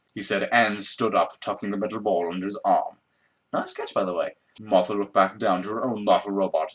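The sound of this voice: The background is quiet while the speaker reads aloud in an unforced voice.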